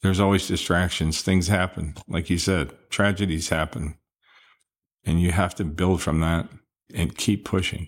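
A man's very deep, low voice at a moderate pace, with long, frequent pauses and fairly even intonation, on a very clean recording with a silent background. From New England, Gardiner, Maine. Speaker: security director. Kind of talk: interview.

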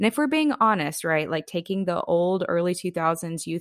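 A woman with a plain, everyday voice at a moderate pace, ordinary pitch variation, and a quiet background. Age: 30s. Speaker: pastor. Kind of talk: talk on church ministry.

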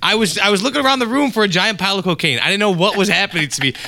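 A man talks very fast in a raised, projected voice that sits high in pitch. Noticeable background noise runs underneath. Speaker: podcast co-host. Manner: fast, joking storyteller.

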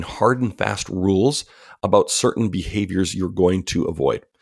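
A man with an American accent speaks at a fairly low pitch with ordinary pitch variation. The recording is very clean, with a silent background. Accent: Canadian with some US Southern drift. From Canada. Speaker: author. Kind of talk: interview.

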